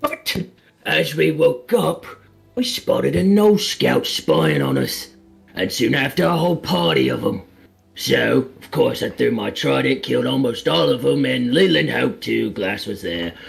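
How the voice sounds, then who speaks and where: With music in the background, a man uses a raspy put-on character voice at a moderate pace. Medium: actual play. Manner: casual, cocky.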